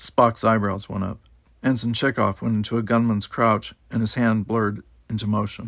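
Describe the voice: The clip is plain reading aloud.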